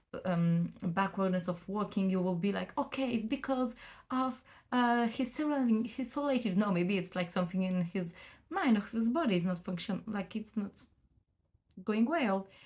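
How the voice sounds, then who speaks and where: A woman at a medium pitch talks at a moderate pace, her intonation lively and her voice somewhat breathy. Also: very clean recording, silent background. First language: French. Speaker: student of psychomotricity. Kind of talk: casual vlog explanation. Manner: halting, many fillers and restarts.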